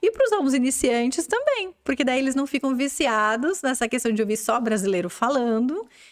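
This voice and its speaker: Speaking at a fairly quick pace with hardly any pauses, a woman with a high voice keeps her loudness very even and her intonation lively. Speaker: podcast host, English school owner. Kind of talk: interview.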